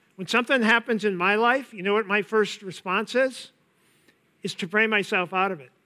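On a very clean recording with a silent background, a man with an American accent uses a raised, projected voice that is high-pitched, bright and sharp, with ordinary pitch variation, big swings in loudness and a moderate pace. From US Upper Midwest, east-central Minnesota. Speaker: pastor. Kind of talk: sermon.

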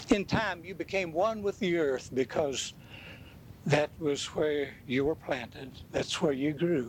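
Fairly high in pitch, a man speaks at a fairly slow pace with ordinary pitch variation. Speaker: preacher. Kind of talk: dramatic first-person monologue of Joseph, after a sermon-style intro. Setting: church. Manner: animated; solemn.

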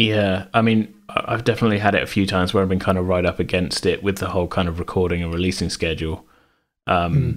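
A man with a very deep, low pitch talks at a very fast pace with fairly even intonation. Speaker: podcast host. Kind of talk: casual chat. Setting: remote recording during lockdown.

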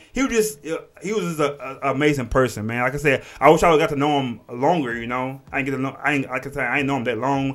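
This man talks at a fairly high pitch with an American accent. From Texas, Port Arthur area. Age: 30s. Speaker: podcast host. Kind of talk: casual chat. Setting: studio with camera. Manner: halting, many repetitions.

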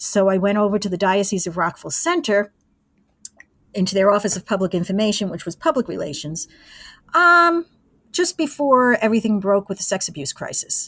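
Recorded dry and close with no echo, the voice moves at a fairly quick pace with very wide pitch swings. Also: woman, medium pitch for a woman. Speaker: former college radio engineer and broadcaster. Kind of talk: interview.

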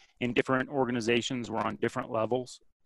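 A man's medium-pitched voice in an American accent, with fairly even intonation, dry and close with no echo. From Vermont, US. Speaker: strength and conditioning coach. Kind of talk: podcast interview. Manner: hesitant, many fillers.

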